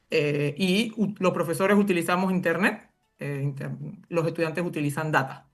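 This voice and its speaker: Over music in the background, a woman speaks at a fairly low pitch. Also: ordinary pitch variation. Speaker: university professor and education researcher. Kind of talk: interview. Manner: fast; halting, many fillers.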